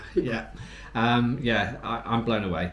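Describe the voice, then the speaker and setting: A man with a fairly low-pitched voice speaks amid audible room echo. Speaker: travel vlogger. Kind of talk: casual chat. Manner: quiet; halting.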